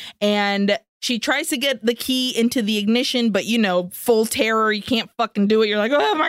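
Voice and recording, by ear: A natural read-aloud voice, the backdrop quiet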